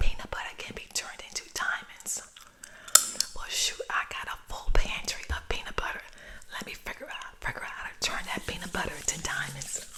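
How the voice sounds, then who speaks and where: Whispering at a fairly quick pace, the speaker is heard over noticeable background noise. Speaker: ASMR creator. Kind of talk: ASMR random facts with casual commentary. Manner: soft-spoken, friendly, conversational.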